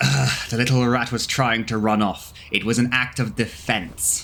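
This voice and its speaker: Light background noise sits behind a man doing a put-on character voice. He talks at a moderate pace in a medium pitch. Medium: audio drama.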